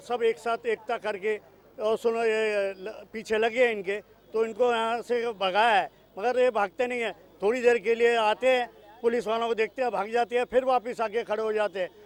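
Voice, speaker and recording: A man speaks at an extremely high pitch in a monotone, flat intonation. The sound is dry and close, with no echo. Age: 60s. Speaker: local resident. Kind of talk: street interview.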